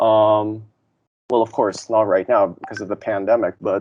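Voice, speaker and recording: A man speaks with a Filipino accent. His pitch is medium. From Philippines. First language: Tagalog. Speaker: interviewee sharing lived experience. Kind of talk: interview testimony. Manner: hesitant with many fillers.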